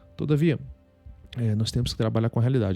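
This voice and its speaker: Medium in pitch, a man speaks with a dark, mellow tone. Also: dry, close sound with no echo. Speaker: state attorney and exam tutor. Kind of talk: advice monologue. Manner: fast; halting.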